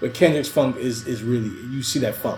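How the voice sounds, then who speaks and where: A man with a New York accent, animated in tone at a moderate pace, over noticeable background noise. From US, New York City (Queens). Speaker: podcast co-host. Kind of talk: casual chat.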